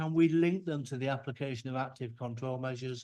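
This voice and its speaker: An ordinary speaking voice moves at a fairly quick pace on a very clean recording with a silent background. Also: man. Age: 60s. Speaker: microbiology researcher. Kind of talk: conference talk. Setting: workshop with audience.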